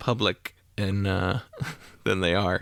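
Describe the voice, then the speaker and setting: A man with a Southern US accent at a fairly slow pace, in a dry, close sound with no echo. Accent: faint Southern US. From North Carolina. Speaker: podcast co-host. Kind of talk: casual chat.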